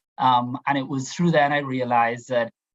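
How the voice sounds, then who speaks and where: A man with a Trinidadian accent at medium pitch and a moderate pace. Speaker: diversity and inclusion professional, panelist. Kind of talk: panel discussion. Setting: video call. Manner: halting.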